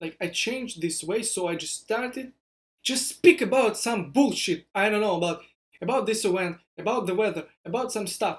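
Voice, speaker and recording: A man with a Russian accent speaks in a high voice at a moderate pace. His intonation is lively. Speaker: startup founder vlogger. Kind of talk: vlog monologue. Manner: halting.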